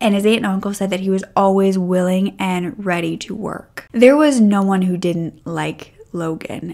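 A woman talks with a dark, mellow tone and hardly any pauses. The background is quiet. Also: ordinary pitch variation, moderate pace. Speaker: true crime narrator. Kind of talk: storytelling commentary. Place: home room. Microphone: studio mic.

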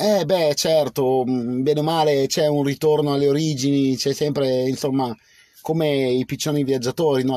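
A man with a dark, mellow tone and fairly high pitch speaks with fairly even intonation in a dry sound with no echo. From Piedmont, Biella area; Piedmont, Italy. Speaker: livestreamer. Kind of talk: casual live stream chat. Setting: outdoors under a cherry tree. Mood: relaxed, reflective. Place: car. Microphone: phone near.

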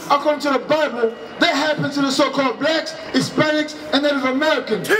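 Over noticeable background noise, a man speaks fairly quickly with fairly even intonation. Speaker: street preacher. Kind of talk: street sermon. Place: street.

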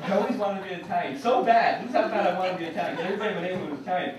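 A man speaks very fast with an American accent, his pitch high for a man and his pitch variation ordinary. There is noticeable background noise and audible room echo. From New York. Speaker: stand-up comedian. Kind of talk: stand-up comedy set. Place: stage.

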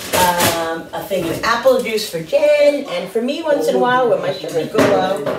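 Audible room echo accompanies a voice with lively intonation at a moderate pace. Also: woman, medium pitch for a woman.

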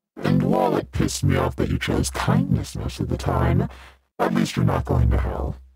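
Putting on a character voice, a man speaks raspy and very deep at a moderate pace, with faint music in the background. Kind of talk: ASMR roleplay. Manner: mocking, irreverent.

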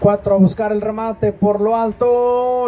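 Against noticeable background noise, a man speaks at an extremely high pitch. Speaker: football match commentator. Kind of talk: live sports commentary.

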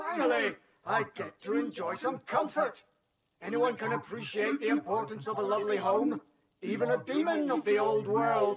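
In a put-on character voice, a man pitches himself high. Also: moderate pace. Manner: menacing, then pleased and gracious.

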